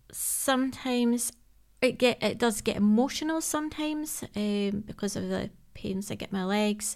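A woman is speaking at a fairly high pitch. Her pace is moderate and her pitch varies in an ordinary way. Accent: Scottish. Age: 30s. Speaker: emergency services worker and charity ambassador. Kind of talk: interview about personal health.

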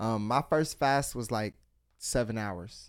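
In an animated tone, a man speaks with ordinary pitch variation. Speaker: podcast host. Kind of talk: casual chat.

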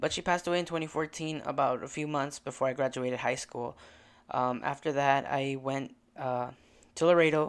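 An ordinary speaking voice from a man with an American accent, fairly high in pitch, at a fairly quick pace with fairly even intonation, on a very clean recording with a silent background. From rural Illinois, US. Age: 20s. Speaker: podcast host. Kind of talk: casual personal monologue.

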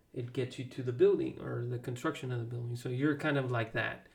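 Somewhat breathy, a man speaks at a moderate pace with a medium pitch. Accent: American. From Texas. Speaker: podcast co-host. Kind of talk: casual chat.

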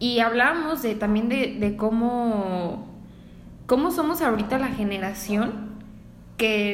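A woman speaks at a fairly slow pace with a fairly high pitch and ordinary pitch variation, over noticeable background noise and audible room echo. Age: 20s. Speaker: podcast co-host, graphic designer. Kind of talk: casual chat.

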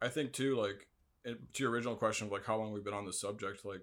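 With an American accent, a man talks in an unremarkable speaking voice, fairly low in pitch, with fairly even intonation. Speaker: guest. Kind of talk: casual chat.

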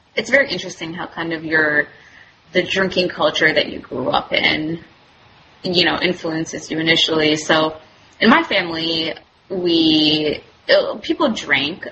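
Noticeable background noise accompanies a woman speaking at a fairly low pitch. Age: 30s. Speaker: medical student. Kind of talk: casual chat.

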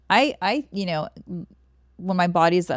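A woman with a plain, everyday voice speaks at a fairly low pitch and a fairly quick pace. Her pitch variation is ordinary, and the recording is very clean with a silent background. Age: 40s. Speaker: fitness coach and co-host. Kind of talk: casual chat.

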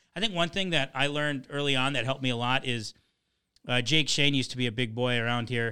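A man in a medium pitch at a very fast pace, with ordinary pitch variation and very even loudness. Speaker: comedian. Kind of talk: casual chat. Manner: joking.

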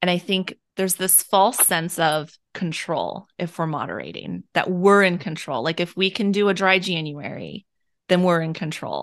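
A woman has a plain, everyday voice, fairly low in pitch with fairly even intonation. She talks at a moderate pace against a quiet background. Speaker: podcast host. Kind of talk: casual interview chat.

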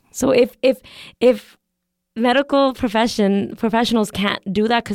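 On a very clean recording with a silent background, a normal speaking voice with a Canadian accent moves at a moderate pace with ordinary pitch variation. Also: woman. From Canada, Calgary. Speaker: podcast guest. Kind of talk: casual chat.

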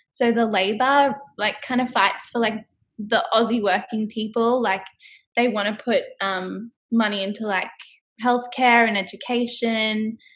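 A woman with an Australian accent talks at a fairly slow pace, her fairly high pitch held in fairly even intonation. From Australia, Brisbane (Queensland). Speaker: public relations rep. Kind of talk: casual interview chat.

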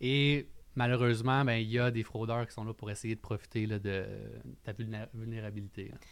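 A man's medium-pitched voice at a moderate pace, fairly even in intonation but with big swings in loudness. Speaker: lawyer and podcast co-host. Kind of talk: casual chat.

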